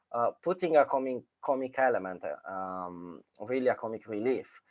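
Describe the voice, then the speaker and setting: A man in a strong Sicilian accent at a fairly slow pace. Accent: strong Sicilian Italian. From Sicily, Italy. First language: Italian. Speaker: filmmaker. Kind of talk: casual chat. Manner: halting, many fillers.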